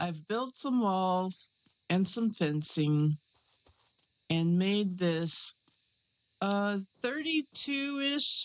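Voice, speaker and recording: A woman speaks quietly at a medium pitch. Her pace is very slow. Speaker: gaming YouTuber. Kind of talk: casual gameplay commentary. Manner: hushed, quiet.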